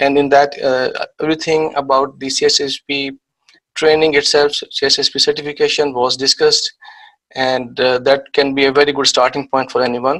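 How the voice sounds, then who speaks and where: A man talks at a fairly quick pace with a Pakistani accent. His fairly high voice stays monotone and flat. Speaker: IT security trainer. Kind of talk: lecture. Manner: hesitant, many fillers.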